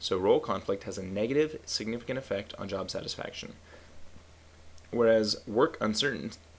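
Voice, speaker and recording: A man talks in an unremarkable speaking voice. His pace is moderate and his pitch variation ordinary. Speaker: statistics tutorial instructor. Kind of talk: software tutorial. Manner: casual.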